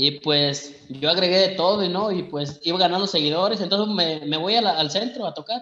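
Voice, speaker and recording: A man's high-pitched voice has a bright, sharp tone and ordinary pitch variation. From Mexico. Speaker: singer. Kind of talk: interview. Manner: halting.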